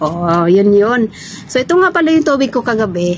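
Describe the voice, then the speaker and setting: A woman speaks in an animated tone. Noticeable background noise sits behind her voice. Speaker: vlogger, overseas domestic worker. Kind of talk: casual vlog chat. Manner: animated, chatty.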